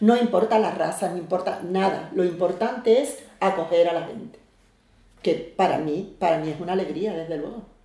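In a room with audible echo, a woman with a medium-pitched voice talks at a moderate pace with ordinary pitch variation and big swings in loudness. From Algeciras, Andalusia, Spain. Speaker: neighborhood association president. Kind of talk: interview.

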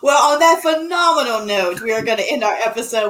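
Noticeable background noise runs through the clip. A woman speaks fairly quickly over it. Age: 30s. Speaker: comedian podcast host. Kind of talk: casual interview chat.

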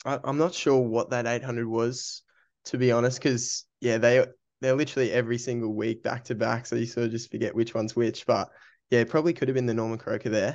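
A man with an Australian accent at medium pitch, fairly even intonation, and a quiet background. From Australia, Brisbane. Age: 20s. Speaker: amateur runner. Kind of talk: casual interview.

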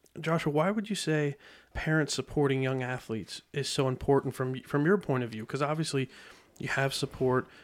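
At a fairly quick pace, a man with an unremarkable speaking voice talks in a fairly high pitch with ordinary pitch variation, on a very clean recording with a silent background. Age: 30s. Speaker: podcast host. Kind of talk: interview. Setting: studio.

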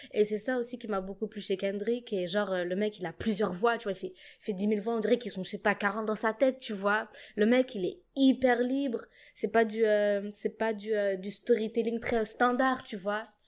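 A woman's fairly high, normal speaking voice with fairly even intonation, a moderate pace and big swings in loudness, on a very clean recording with a silent background. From Djibouti. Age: 20s. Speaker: singer and musician. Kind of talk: casual chat.

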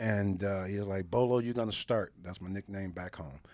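A man with a plain, everyday voice, fairly low pitch and ordinary pitch variation, on a very clean recording with a silent background. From Detroit, Michigan. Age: 50s. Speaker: motivational speaker and former pro football player. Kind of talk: casual interview, life story.

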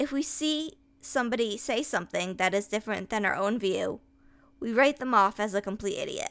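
The speaker has an unremarkable speaking voice with an American accent, ordinary pitch variation and a fairly quick pace. The recording is very clean, with a silent background. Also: woman, fairly high pitch for a woman. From US, upstate New York. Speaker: podcaster. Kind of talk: personal essay monologue.

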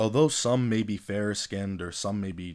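Speaking at a fairly quick pace, the man has an unremarkable speaking voice, a fairly low pitch, and ordinary pitch variation. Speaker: podcast host. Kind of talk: scripted narration.

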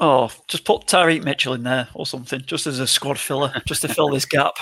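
With a Lancashire accent, a man speaks at a moderate pace in a fairly high pitch. His tone is bright and sharp, with ordinary pitch variation. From Lancashire, England. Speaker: podcast co-host. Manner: casual, chatty.

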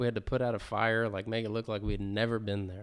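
The tone is animated. The pace is fairly quick. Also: man. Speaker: podcast co-host. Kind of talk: casual chat. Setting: garage recording. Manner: animated, joking.

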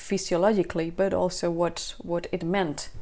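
In a Spanish accent, a woman speaks at a moderate pace with a fairly low pitch and a dark, mellow tone. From Spain. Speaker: mother sharing birth story, former ecologist. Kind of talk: interview testimony. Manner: halting.

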